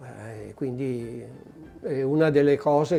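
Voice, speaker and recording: A man speaks at a very slow pace. His pitch sits in the middle range. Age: 60s. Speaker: collector. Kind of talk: interview. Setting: private collection venue. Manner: halting.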